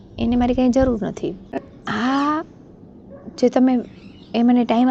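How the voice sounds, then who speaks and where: A woman with a fairly high pitch talks while noticeable noise is heard behind her. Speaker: motivational YouTuber. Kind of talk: motivational talk.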